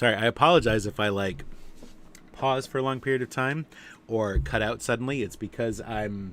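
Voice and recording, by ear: A man with a medium pitch and fairly bright, nasal tone talks at a moderate pace with ordinary pitch variation.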